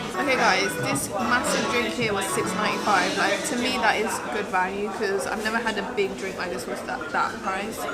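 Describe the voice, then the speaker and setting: A woman speaks at a moderate pace with ordinary pitch variation and hardly any pauses. Loud music plays in the background. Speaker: food vlogger. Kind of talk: casual vlog chat. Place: cafe. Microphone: camera far.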